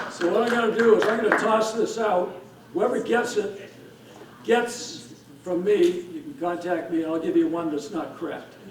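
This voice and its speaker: Amid noticeable background noise and audible room echo, a man talks at a high pitch with lively intonation. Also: moderate pace. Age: 70s. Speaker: hall of fame inductee, veteran disc thrower. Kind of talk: acceptance speech.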